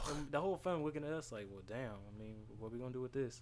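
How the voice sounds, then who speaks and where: A man with an American accent at a very fast pace. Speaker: podcast guest. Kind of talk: casual chat.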